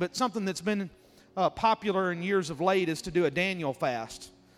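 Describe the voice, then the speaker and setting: With music in the background, a man in a Mississippi accent talks at a fairly quick pace, his pitch high and its variation ordinary. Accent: Southern US (Mississippi). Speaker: guest preacher. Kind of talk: sermon. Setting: church.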